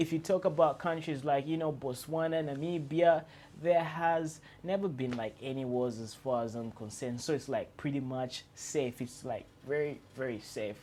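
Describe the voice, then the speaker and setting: With an African accent, a man speaks at a moderate pace in a dark, mellow tone, his pitch fairly high and his pitch variation ordinary. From Zambia. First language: non-English Zambian language. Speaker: YouTuber. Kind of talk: vlog monologue. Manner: hesitant with fillers and repetitions; trying to speak loud and clear.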